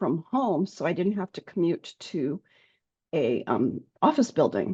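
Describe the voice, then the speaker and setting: A dark, mellow tone at a moderate pace, dry and close with no echo. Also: woman. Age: 60s. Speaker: health coach. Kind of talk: interview.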